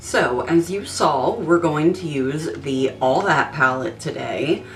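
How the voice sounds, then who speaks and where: A woman speaks very slowly in a very deep, low voice with ordinary pitch variation over noticeable background noise. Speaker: beauty vlogger. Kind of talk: tutorial; casual chat. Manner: hesitant, many ums.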